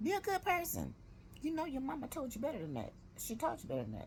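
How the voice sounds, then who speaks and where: The delivery comes at a fairly quick pace. It is a woman talking. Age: 60s. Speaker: vlogger. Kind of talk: casual vlog update. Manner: rambling, conversational.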